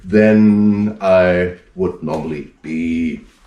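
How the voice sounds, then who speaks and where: A man with a German accent talks at a fairly low pitch. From northern Germany, Hamburg. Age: 40s. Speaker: strongman performer. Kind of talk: live performance commentary. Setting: home, internet show.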